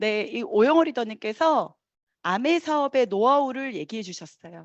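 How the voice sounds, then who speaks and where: At a moderate pace, a woman talks in an animated tone with very wide pitch swings. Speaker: network marketing business leader. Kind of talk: motivational speech.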